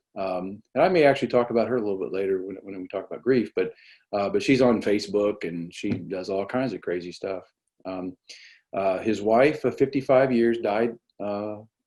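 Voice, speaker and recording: Here a man with an American accent talks at a fairly quick pace in a fairly low, dark, mellow voice with ordinary pitch variation and big swings in loudness. The recording is very clean, the background silent. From Indiana, US Midwest. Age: 50s. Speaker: psychiatrist. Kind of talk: lecture. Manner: halting, many fillers.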